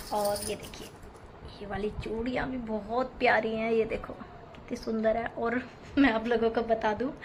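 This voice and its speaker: Her fairly high voice flat and monotone, a woman speaks over noticeable background noise. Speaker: housewife vlogger. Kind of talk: vlog voice-over narration. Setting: home, voice-over recorded at 5 am. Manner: casual, chatty.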